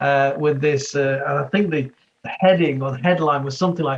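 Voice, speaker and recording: With fairly even intonation, a man talks in a somewhat breathy, fairly high-pitched voice. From West Midlands, England (Wolverhampton). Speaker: former police leader and leadership coach. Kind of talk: interview conversation.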